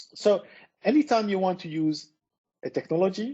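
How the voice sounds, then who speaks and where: Speech from a man with a French accent. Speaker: tech speaker. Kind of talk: presentation.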